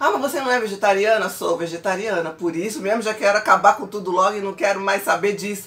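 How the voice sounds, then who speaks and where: A woman talks at a very fast pace with hardly any pauses. Her medium-pitched voice has an animated tone and ordinary pitch variation. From Brazil. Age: 40s. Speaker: pastor and vlogger; pastor, vlogger. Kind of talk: casual vlog monologue. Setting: at home. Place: home room. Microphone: phone near.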